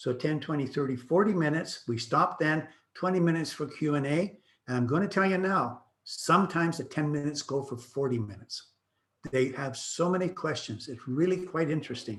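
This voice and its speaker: Pitch varies in an ordinary way. The delivery is fairly quick and somewhat breathy. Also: man, fairly high pitch for a man. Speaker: real estate broker. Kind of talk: presentation. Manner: fast.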